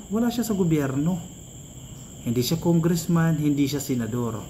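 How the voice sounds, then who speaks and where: His pitch swings very widely, in a dark, mellow tone. The man keeps to a moderate pace. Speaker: political commentary vlogger. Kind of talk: political commentary vlog.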